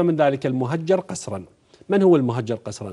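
This man's voice has a dark, mellow tone, a fairly high pitch and lively intonation. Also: quiet background. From Iraq. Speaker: member of parliament; guest. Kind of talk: heated debate. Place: studio. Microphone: lapel.

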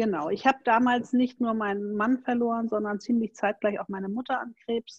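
A woman with a fairly high pitch and a slightly mellow tone uses fairly even intonation. The sound is dry and close with no echo.

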